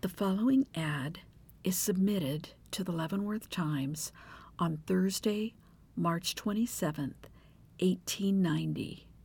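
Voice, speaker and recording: The speaker sounds somewhat breathy at a fairly slow pace with ordinary pitch variation, in a very clean recording with a silent background. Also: woman, medium pitch for a woman. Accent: American. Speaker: true crime podcaster. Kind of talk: scripted narration of a true crime story with humorous asides. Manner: humorous, judgmental, informal.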